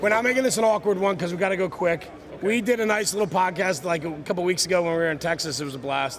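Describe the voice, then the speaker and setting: A man talks loudly at a very fast pace in a high voice with ordinary pitch variation. Noticeable background noise runs underneath. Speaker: podcast host. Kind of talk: live stream interview. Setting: trade show booth.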